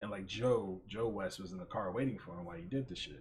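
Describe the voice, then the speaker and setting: Here a man talks at a fairly quick pace, his voice fairly low and somewhat breathy. His pitch variation is ordinary. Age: 30s. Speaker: podcast host. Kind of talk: casual chat. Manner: animated; rambling with many fillers.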